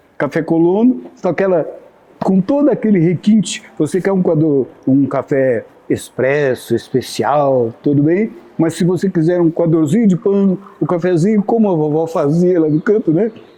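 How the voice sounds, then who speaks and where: A man speaks at a moderate pace with lively intonation, a high pitch and very even loudness, over noticeable background noise. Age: 70s. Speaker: local historian and TV presenter. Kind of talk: casual chat. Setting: café.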